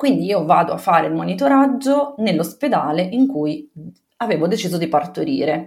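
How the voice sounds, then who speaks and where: A woman speaks in a fairly low voice with vocal fry. Her pitch swings very widely. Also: moderate pace. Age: 30s. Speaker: mother telling her birth story. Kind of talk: personal testimony in interview.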